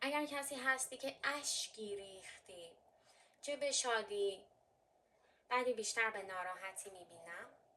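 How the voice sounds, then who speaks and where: Bright and sharp in tone, a woman with a fairly high pitch speaks at a fairly slow pace with lively intonation and long, frequent pauses. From Armenian heritage. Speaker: fortune teller. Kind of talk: tarot and coffee reading.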